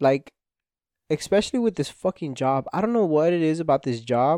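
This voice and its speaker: The voice has a dark, mellow tone and a Spanish accent, recorded with a dry, close sound and no echo. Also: man. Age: 20s. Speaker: podcast host. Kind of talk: casual monologue. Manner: rambling, stumbling over words.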